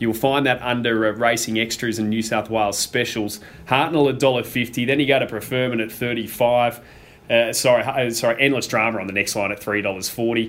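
A man with an Australian accent speaks at a medium pitch and a fairly quick pace. Noticeable background noise runs underneath. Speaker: racing broadcaster and podcast host. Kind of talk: casual chat. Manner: conversational, upbeat.

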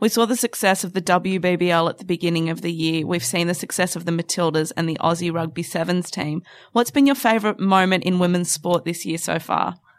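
A woman with an Australian accent at a fairly quick pace, with hardly any pauses. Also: ordinary pitch variation, very clean recording, silent background. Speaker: podcast host. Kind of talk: sports chat show. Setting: studio.

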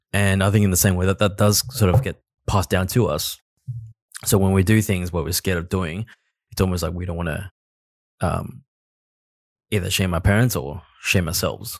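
On a very clean recording with a silent background, a man speaks in a very deep, low pitch with long, frequent pauses and a dry, close sound with no echo. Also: fairly quick pace. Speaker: podcast co-host. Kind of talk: casual chat. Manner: hesitant, filler-heavy.

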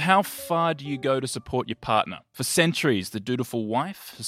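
With an Australian accent, a man talks at a moderate pace in a medium pitch with ordinary pitch variation. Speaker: film podcast host. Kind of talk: casual chat about films.

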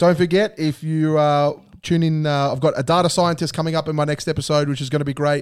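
In monotone, flat intonation, a man talks at a very fast pace. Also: fairly high pitch for a man. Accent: Australian. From Australia. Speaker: podcast host. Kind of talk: casual chat. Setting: studio.

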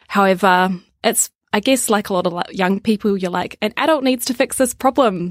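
A woman with a New Zealand accent speaks at a medium pitch and a moderate pace, with ordinary pitch variation. The recording is very clean with a silent background and has a dry, close sound with no echo. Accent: New Zealand, gentle. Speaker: social enterprise worker. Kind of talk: interview. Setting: studio.

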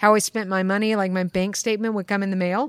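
A woman with an American accent, a normal speaking voice, a medium pitch and fairly even intonation. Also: very clean recording, silent background. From US East Coast. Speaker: accountant. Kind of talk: interview. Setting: conference.

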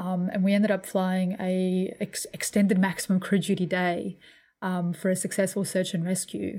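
On a very clean recording with a silent background, a woman speaks at a moderate pace in a medium-pitched, somewhat breathy voice with a dark, mellow tone and flat, monotone intonation. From New Zealand. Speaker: air force pilot. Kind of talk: interview.

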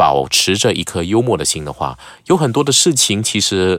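Vocal fry and very wide pitch swings mark a man's voice at a moderate pace. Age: 40s. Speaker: news presenter and media educator. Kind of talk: casual chat.

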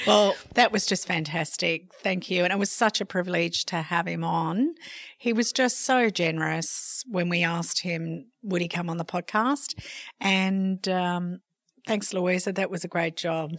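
In an ordinary speaking voice, a woman talks at a fairly slow pace. Her pitch is fairly low, with ordinary pitch variation. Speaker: podcast host. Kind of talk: casual chat.

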